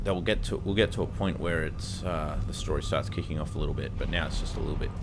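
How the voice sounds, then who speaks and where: A man talks at a very fast pace amid audible room echo and noticeable background noise. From Australia. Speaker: gaming youtuber. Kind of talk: let's play commentary. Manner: halting, many fillers; casual.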